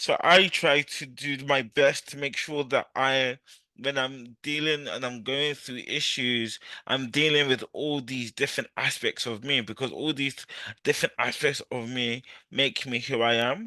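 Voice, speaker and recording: A man talks loudly at a fairly slow pace and medium pitch, with a bright, sharp tone, fairly even intonation, and a dry, close sound with no echo over a quiet background. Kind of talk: interview.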